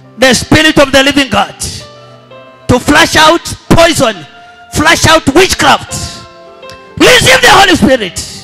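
Faint music plays in the background as a man speaks at a fairly slow pace. He leaves long, frequent pauses. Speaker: preacher leading deliverance prayer. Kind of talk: sermon. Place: church.

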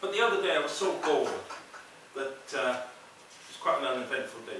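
A man is heard with light background noise and audible room echo. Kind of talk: comedy monologue. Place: hall. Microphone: camera far.

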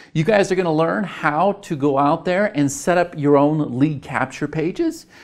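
Lively intonation runs through the speech at a fairly slow pace. The background is quiet. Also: man. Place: studio. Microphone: lapel.

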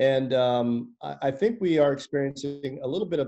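Dark, mellow male tone over a quiet background. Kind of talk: interview answer. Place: home room. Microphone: video call.

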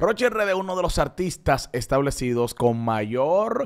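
A man talks at a moderate pace with lively intonation. The background is quiet. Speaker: entertainment show host. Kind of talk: entertainment news commentary. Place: studio. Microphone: studio mic.

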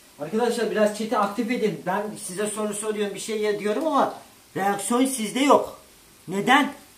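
In a space with audible room echo, a man with a high pitch talks at a moderate pace with ordinary pitch variation. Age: 30s. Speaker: gaming streamer. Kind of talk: live stream cooking chat. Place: kitchen. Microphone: camera far.

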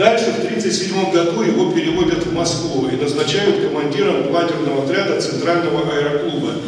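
With light background noise and strong room echo, a man with a high pitch and ordinary pitch variation speaks at a fairly quick pace with hardly any pauses. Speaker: aviation historian. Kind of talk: lecture. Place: hall.

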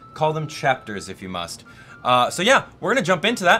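With faint music behind him, the man talks at a fairly quick clip. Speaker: gaming streamer. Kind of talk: casual gameplay commentary. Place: studio.

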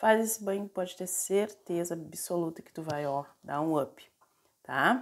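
A woman speaks at a fairly slow pace with fairly low pitch and ordinary pitch variation. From Porto Alegre, southern Brazil; Rio Grande do Sul, Brazil. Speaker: spiritual practitioner and video creator; video creator. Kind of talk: tutorial. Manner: casual, many filler tags. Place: kitchen. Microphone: phone near.

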